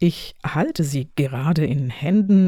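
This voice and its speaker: A woman's somewhat breathy voice with a dark, mellow tone and lively intonation, on a very clean recording with a silent background. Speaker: professor and podcast host. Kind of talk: scripted academic moderation. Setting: home office recording. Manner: formal.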